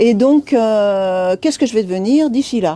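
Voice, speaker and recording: Fairly high-pitched yet dark and mellow, a woman's voice moves at a fairly slow pace. Her pitch swings very widely. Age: 60s. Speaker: bookshop employee. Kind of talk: interview. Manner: hesitant, many fillers.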